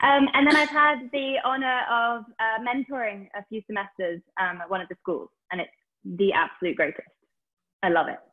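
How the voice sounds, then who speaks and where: Against a quiet background, a woman speaks with a British accent at a fairly high pitch. Her pace is moderate and her intonation lively. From Britain. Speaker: actor; volunteer actor guest. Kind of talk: casual chat. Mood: warm, enthusiastic. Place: home room. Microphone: earbuds.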